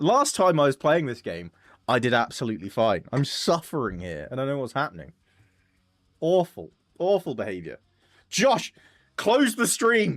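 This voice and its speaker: In an English accent, a man with a fairly high pitch and vocal fry speaks in an animated tone at a moderate pace, his pitch swinging very widely, with long, frequent pauses on a very clean recording with a silent background. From England. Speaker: streamer. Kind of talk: live gaming stream commentary. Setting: live stream.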